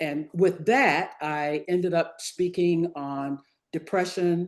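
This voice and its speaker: Someone with an American accent talks at a very slow pace with ordinary pitch variation. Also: woman, fairly low pitch for a woman. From US South, Virginia. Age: 70s. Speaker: retired physician, author and professional speaker. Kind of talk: interview.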